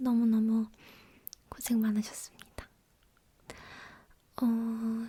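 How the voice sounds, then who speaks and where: A soft-spoken, somewhat breathy woman's voice, fairly high in pitch and dark and mellow in tone, with monotone, flat intonation, a very slow pace, and long, frequent pauses. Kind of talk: ASMR chit-chat.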